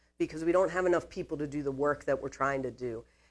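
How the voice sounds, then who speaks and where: The recording is very clean with a silent background. Her pitch varies in an ordinary way as the woman talks at a fairly quick pace. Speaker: mental health clinician, presenter. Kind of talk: presentation to business audience. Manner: fast.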